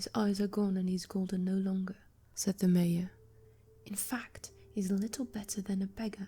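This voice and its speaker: Soft-spoken and somewhat breathy, a woman speaks at a moderate pace and a medium pitch, with a dark, mellow tone and a monotone, flat intonation. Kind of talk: ASMR book reading. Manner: soft-spoken, relaxing.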